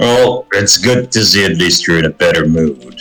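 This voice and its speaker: Here a man puts on a character voice. It sits fairly low and moves at a moderate pace. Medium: actual play. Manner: gruff, dry.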